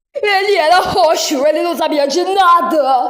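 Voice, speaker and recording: Someone puts on a character voice with an extremely high pitch, speaking at a moderate pace. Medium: fan dub.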